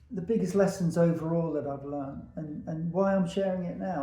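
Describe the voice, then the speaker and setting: A man speaks at a fairly high pitch with a dark, mellow tone and ordinary pitch variation. Audible room echo surrounds the voice. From England, Peterborough. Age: 70s. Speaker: veteran hairdresser. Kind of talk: casual monologue to camera.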